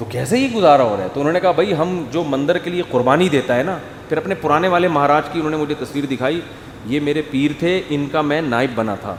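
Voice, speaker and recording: Ordinary pitch variation comes through noticeable background noise. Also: man, fairly high pitch for a man. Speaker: Islamic preacher. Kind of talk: religious sermon (bayan) to an audience. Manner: animated, storytelling.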